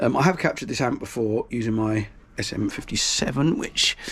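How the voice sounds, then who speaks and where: A man's fairly low voice comes across as somewhat breathy. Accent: British. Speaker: guitarist. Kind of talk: tutorial. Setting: small room at home. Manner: casual, hesitant with fillers.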